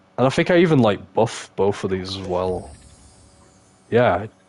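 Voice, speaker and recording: There is noticeable background noise behind a man with an English accent. He talks at a moderate pace with lively intonation. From England. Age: 20s. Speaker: gaming streamer. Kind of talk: live stream gameplay commentary. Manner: whispering; animated.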